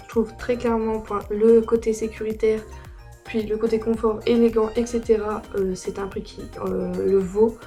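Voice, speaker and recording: A woman talks in a fairly high, flat monotone while music plays behind her. Her loudness swings widely. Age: young. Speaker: horse rider, brand ambassador. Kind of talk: casual product review to camera.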